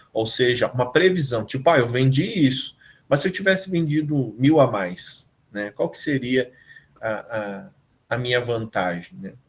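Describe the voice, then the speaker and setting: A man speaks fairly slowly in a somewhat breathy voice, with lively intonation and big swings in loudness. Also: medium pitch for a man. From southern Brazil, Rio Grande do Sul interior. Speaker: university professor. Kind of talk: online lecture. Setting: live remote class video call.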